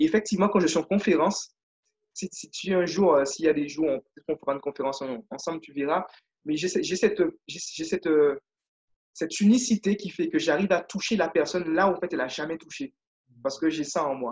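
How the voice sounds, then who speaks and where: A man speaks in a high voice at a fairly quick pace, with ordinary pitch variation. His loudness swings widely, and he leaves long, frequent pauses. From Guadeloupe. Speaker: leadership and confidence coach. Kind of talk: interview. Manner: animated.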